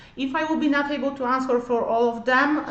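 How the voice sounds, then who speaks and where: Amid noticeable background noise and audible room echo, a woman speaks at a moderate pace with a non-native accent. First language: not English. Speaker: cosmetic treatment practitioner. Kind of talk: livestream tutorial. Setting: livestream in treatment room. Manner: halting, many fillers.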